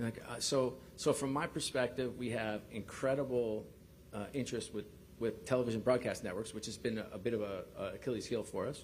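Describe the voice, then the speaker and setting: A man with a New York accent speaks at a fairly quick pace and medium pitch. His intonation is fairly even, and audible room echo surrounds him. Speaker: sports league executive. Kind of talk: press conference. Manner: halting, many fillers and repeats.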